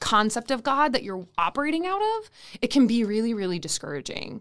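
With a fairly high pitch and a normal speaking voice, a woman talks at a fairly quick pace on a very clean recording with a silent background. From Minnesota, Saint Paul. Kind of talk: interview. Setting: studio.

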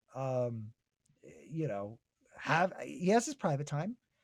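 A man speaks at a very slow pace with a fairly high pitch. His voice is somewhat breathy. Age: 40s. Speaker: TV writer and producer. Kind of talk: casual chat.

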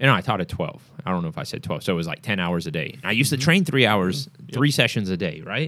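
Very fast and animated with hardly any pauses, a man's fairly low voice has a bright, sharp tone and very wide pitch swings on a very clean recording with a silent background. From Singapore. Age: 40s. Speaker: fitness coach and gym owner. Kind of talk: casual interview. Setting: gym.

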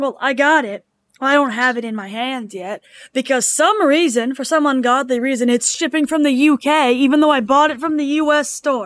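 The recording is very clean, with a silent background. A woman with a high pitch and ordinary pitch variation speaks at a moderate pace. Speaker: podcast co-host. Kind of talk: casual chat about game lore.

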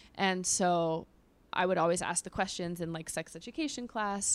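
A woman talks in a plain, everyday voice with an American accent, medium pitch, and ordinary pitch variation at a fairly quick pace. The recording is very clean, with a silent background. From Los Angeles, US West Coast. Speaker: sex therapist. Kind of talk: casual chat. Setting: in studio with hosts.

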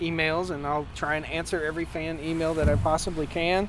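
There's audible room echo around this man, whose voice sits high in pitch. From Virginia, Martinsville. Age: 40s. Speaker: farmer and homesteader. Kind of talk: interview. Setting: conference.

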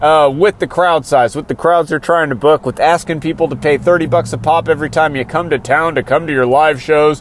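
Noticeable background noise sits behind a man talking fairly quickly at a fairly high pitch. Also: hardly any pauses. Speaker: wrestling podcast host. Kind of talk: casual podcast monologue, comedic. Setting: in a truck. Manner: animated, jokey.

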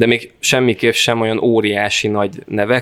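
In a dry, close recording with no echo, a man with an unremarkable speaking voice talks at a moderate pace, his fairly low pitch following a fairly even intonation. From north-western Hungary, Fertőszentmiklós near Sopron. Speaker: festival organizer and cultural project manager. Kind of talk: interview.

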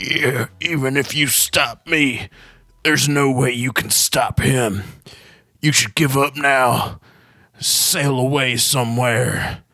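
Putting on a character voice, a man speaks raspy and at a fairly slow pace with a medium pitch. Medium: actual play. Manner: gruff, threatening, then rambling.

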